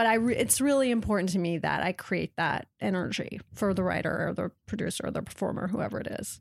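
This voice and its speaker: A woman with an American accent speaks fairly quickly, with hardly any pauses. Her medium pitch shows ordinary variation and some vocal fry. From Washington State, US. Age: 30s. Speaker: TV network executive. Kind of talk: interview. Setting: in person, Montreal.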